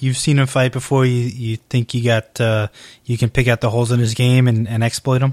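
Over a silent background in a very clean recording, a man with an American accent talks at a fairly quick pace and medium pitch, monotone and flat, with very even loudness and a dry, close sound with no echo. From upstate New York. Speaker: podcast host, MMA interviewer. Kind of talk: casual interview; solo podcast announcements.

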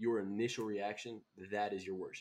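A man with a fairly low voice speaks with a Southern US accent. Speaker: podcast host. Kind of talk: casual chat.

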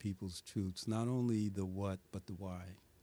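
A man speaks with an American accent. His voice is fairly low in pitch. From New York City (Brooklyn, Bedford-Stuyvesant). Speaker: community leader. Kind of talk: interview conversation. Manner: reflective.

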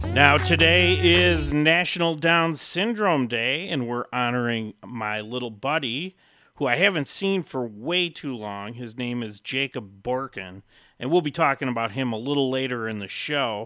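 On a very clean recording with a silent background, a man speaks at a fairly slow pace in a bright, sharp, upbeat tone with very wide pitch swings. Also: medium pitch for a man. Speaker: radio host. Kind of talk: radio DJ patter. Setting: community radio studio, live. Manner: upbeat, jokey, bantering.

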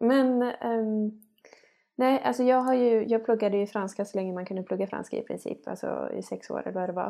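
A woman speaks at a moderate pace in a dark, mellow tone, with ordinary pitch variation. The recording is very clean, with a silent background. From western Sweden (Skövde area, farm). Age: 30s. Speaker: podcast co-host. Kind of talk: casual chat.

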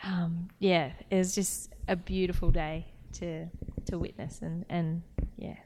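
Speaking at a very slow pace, a woman keeps a fairly low pitch and monotone, flat intonation. Her loudness swings a lot. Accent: Australian. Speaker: footballer and podcast co-host. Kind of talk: casual chat.

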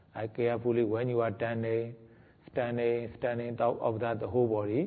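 This is a normal speaking voice from a man. His pitch is medium and his intonation fairly even. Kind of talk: guided meditation. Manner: slow, calm, deliberate, giving step-by-step instructions with repeated words.

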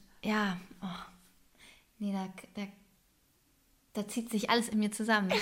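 A woman speaks very slowly in a somewhat breathy, flat monotone. Her speech has long, frequent pauses. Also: medium pitch for a woman. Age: 30s. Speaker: podcast co-host. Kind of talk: casual chat.

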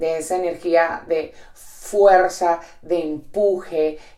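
A woman speaks in a flat monotone. Room echo can be heard. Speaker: podcast host and entrepreneur. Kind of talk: reflective solo monologue. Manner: direct.

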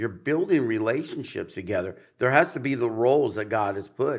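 A man with a normal speaking voice at a moderate pace, lively intonation, and a very clean recording with a silent background. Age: 50s. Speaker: pastor. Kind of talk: casual chat.

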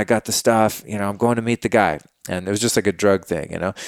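A man speaks in a plain, everyday voice with ordinary pitch variation. The sound is dry and close with no echo, in a very clean recording with a silent background. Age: 40s. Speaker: podcast host, wellness advocate. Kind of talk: casual chat.

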